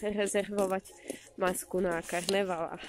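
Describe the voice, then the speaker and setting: A woman is heard in a dry sound with no echo. Light background noise sits behind her. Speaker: vlogger mother. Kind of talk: casual vlog chat. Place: street. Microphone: phone near.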